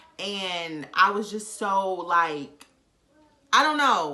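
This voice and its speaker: A woman's medium-pitched voice, bright and sharp, with an animated tone, lively intonation, and audible room echo. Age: 20s. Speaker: vlogger. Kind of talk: casual chat.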